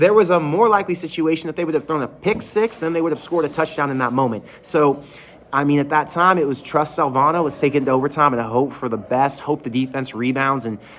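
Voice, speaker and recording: Over noticeable background noise, a man speaks very fast in a fairly high, animated voice with lively intonation. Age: 30s. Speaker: sports fan show host. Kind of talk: live stream reaction. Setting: closed restaurant. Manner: casual, animated.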